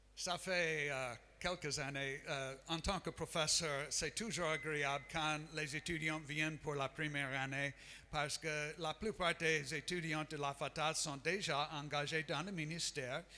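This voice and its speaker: A man's bright, sharp, fairly high voice with an American accent, at a very slow pace and with fairly even intonation. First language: English (speaking French). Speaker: missionary and Bible school professor. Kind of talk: sermon. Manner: halting, many hesitations.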